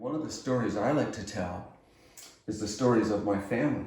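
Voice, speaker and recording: There's audible room echo and noticeable background noise. A man speaks at a moderate pace with ordinary pitch variation. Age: 70s. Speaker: retired climatologist. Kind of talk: interview.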